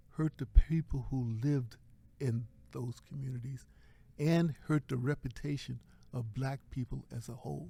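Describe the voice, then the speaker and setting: Speaking with an American accent, a man of medium pitch has a dark, mellow, somewhat breathy tone, a fairly slow pace and fairly even intonation. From Virginia, US South. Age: 70s. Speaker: professor and chaplain. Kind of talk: interview.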